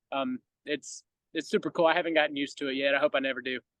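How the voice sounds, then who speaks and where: A man with a Southern US accent rattles along at a very fast pace with ordinary pitch variation. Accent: Southern US country. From US South, rural Georgia. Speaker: baseball entertainer. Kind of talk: podcast interview.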